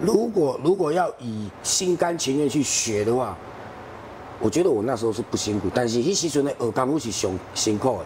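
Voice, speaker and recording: With very wide pitch swings around a medium pitch, a man talks at a moderate pace. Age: young. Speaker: renovation business owner. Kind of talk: interview.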